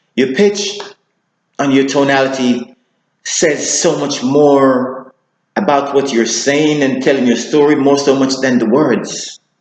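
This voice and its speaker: Room echo is audible as a man speaks at a fairly slow pace with a fairly high pitch. His intonation is fairly even, and his loudness stays very even. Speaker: public speaking coach. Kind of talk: tutorial.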